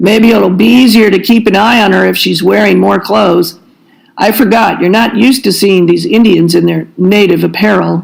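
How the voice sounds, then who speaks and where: A woman's put-on character voice, gruff and medium in pitch, at a moderate pace with very even loudness. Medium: read story. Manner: gruff, barking orders.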